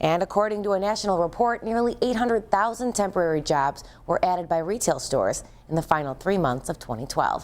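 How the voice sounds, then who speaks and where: In a very clean recording with a silent background, a woman talks at a very fast pace with lively intonation. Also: medium pitch for a woman. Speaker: TV news reporter. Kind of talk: TV news live shot.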